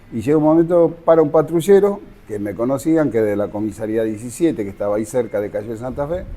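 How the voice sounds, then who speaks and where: A man talks at a very fast pace in a medium pitch, his voice swinging very widely up and down. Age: 60s. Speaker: local resident, witness. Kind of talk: testimony.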